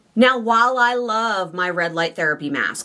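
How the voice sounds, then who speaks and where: Ordinary pitch variation marks the fairly slow speech, which carries noticeable background noise. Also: woman. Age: 30s. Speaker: weight loss surgery coach and vlogger. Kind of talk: vlog. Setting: outdoors.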